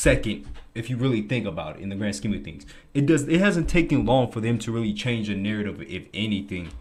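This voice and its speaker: This man's fairly low voice carries vocal fry and very wide pitch swings at a very fast pace. Audible room echo surrounds him. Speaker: podcast co-host. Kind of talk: casual chat. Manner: halting.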